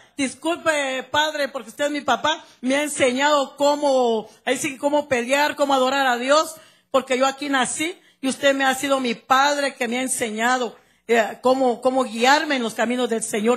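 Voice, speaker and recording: The speaker has a Guatemalan accent and a fairly even intonation at a moderate pace. The background is quiet. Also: woman, high pitch for a woman. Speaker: church member giving testimony. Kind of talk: testimony. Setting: church service, handheld microphone. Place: church. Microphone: handheld.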